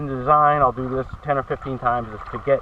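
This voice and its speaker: A man's fairly high pitch comes through noticeable background noise. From Maine, Farmington. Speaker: gold prospecting equipment inventor. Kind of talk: product demonstration.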